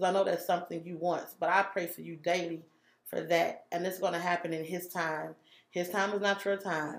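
Her pitch is fairly low and her intonation monotone and flat. The woman speaks at a fairly quick pace. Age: 30s. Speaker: guest, single mother of four. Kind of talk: casual chat.

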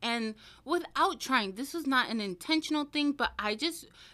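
A woman with an American accent, high in pitch, bright and sharp in tone, her voice raised and projected, with lively intonation at a moderate pace in a very clean recording with a silent background. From Washington State, US (small town). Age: 20s. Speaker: plus size model. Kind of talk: casual chat. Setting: studio.

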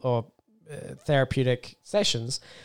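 An Australian accent comes from a man at a medium pitch. His intonation is fairly even. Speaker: podcast co-host. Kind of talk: casual chat.

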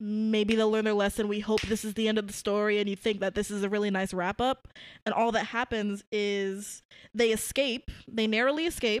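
On a very clean recording with a silent background, a woman with an American accent and an ordinary speaking voice talks at a moderate pace, her fairly high pitch held in fairly even intonation. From Brooklyn, New York. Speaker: podcast co-host, film reviewer. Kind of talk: casual chat.

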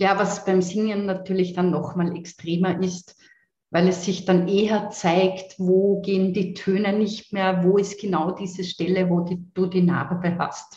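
With an Austrian accent, a woman speaks at a medium pitch in a dark, mellow, somewhat breathy tone, her intonation monotone and flat and her pace fairly slow. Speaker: voice coach and singer. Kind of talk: interview conversation. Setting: video call.

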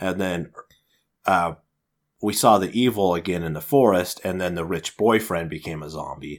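A man with a very deep, low pitch speaks at a moderate pace, leaving long, frequent pauses. The recording is very clean, with a silent background. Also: ordinary pitch variation. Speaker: podcast co-host. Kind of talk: casual chat.

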